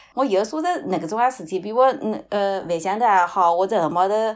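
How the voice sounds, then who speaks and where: A woman with an ordinary speaking voice talks at a moderate pace, medium in pitch with ordinary pitch variation, on a very clean recording with a silent background. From Shaoxing city (Yuecheng district), Zhejiang. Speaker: podcast guest. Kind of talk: casual chat.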